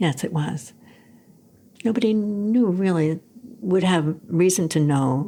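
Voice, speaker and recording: Speaking at medium pitch with lively intonation, a woman with an American accent talks at a very slow pace with long, frequent pauses. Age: 70s. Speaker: retired graphic designer and inventor. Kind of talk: interview. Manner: halting, many fillers and repetitions.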